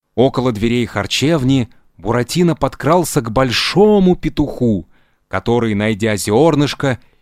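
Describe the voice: Someone gives a plain reading aloud, the intonation lively throughout.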